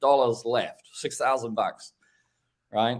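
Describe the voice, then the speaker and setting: At a moderate pace, a man talks in a normal speaking voice with medium pitch. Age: 60s. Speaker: window cleaning equipment business owner. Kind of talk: casual chat.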